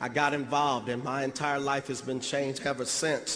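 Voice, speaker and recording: Noticeable noise runs through the clip. The man's delivery moves along fairly quickly. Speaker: motivational speaker. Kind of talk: motivational speech.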